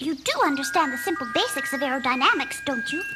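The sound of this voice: Over loud background noise, a high-pitched cartoonish character voice rattles along at a very fast pace.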